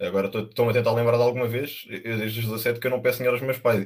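Very fast and monotone, a man speaks at a medium pitch with flat intonation. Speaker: working student. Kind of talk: casual chat.

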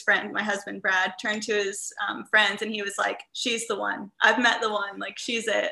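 A woman speaks with a Midwestern American accent. Her voice is fairly high, with a bright, sharp tone. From US Midwest, Indiana. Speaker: travel entrepreneur and digital nomad coach. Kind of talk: casual interview chat.

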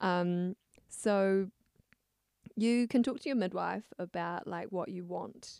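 A woman with a southern New Zealand accent speaks very slowly at medium pitch, with ordinary pitch variation and long, frequent pauses. Her tone is dark and mellow, and the sound is dry and close with no echo. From New Zealand, rural Clutha Valley, Otago. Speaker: young mother. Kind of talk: casual chat. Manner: hesitant, many fillers and laughs.

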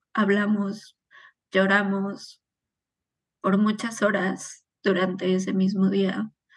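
The voice is somewhat breathy and very slow, set against a quiet background. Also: woman. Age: 30s. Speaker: suicide loss survivor. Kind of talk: testimony.

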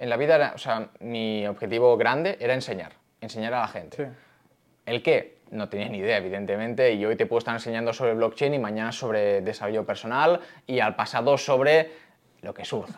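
An ordinary speaking voice from a man, medium in pitch, with ordinary pitch variation and a fairly quick pace over a quiet background. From Barcelona, Spain. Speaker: crypto company CEO and content creator. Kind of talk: casual interview. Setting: in-person studio interview.

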